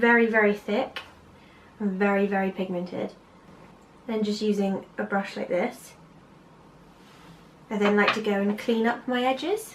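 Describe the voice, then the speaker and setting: A woman with a Bristolian accent, medium pitch and fairly even intonation at a moderate pace, long, frequent pauses and noticeable background noise. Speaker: amateur makeup artist. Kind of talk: makeup tutorial talk to camera.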